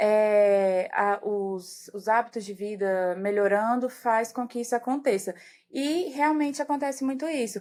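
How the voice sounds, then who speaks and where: A woman with a plain, everyday voice talks at a fairly slow pace, fairly high in pitch with ordinary pitch variation, in a very clean recording with a silent background. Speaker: geriatrician. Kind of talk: podcast interview.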